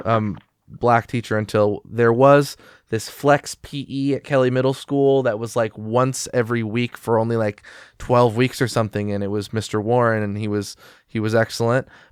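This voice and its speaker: This is an ordinary speaking voice, a man with an American accent at medium pitch and moderate pace with fairly even intonation. The recording is very clean, with a silent background and a dry, close sound with no echo. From Eugene, Oregon, US. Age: 20s. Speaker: podcast host. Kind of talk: interview. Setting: podcast interview.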